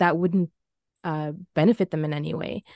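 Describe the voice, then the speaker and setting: With a Canadian accent and a plain, everyday voice, a woman talks at a fairly quick pace with a fairly low pitch and fairly even intonation, in a dry, close sound with no echo against a quiet background. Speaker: PR consultant. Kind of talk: panel discussion.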